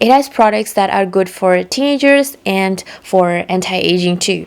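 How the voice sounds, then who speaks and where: Noticeable background noise behind a woman at medium pitch, with lively intonation and a moderate pace. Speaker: beauty youtuber. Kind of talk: voiceover tutorial.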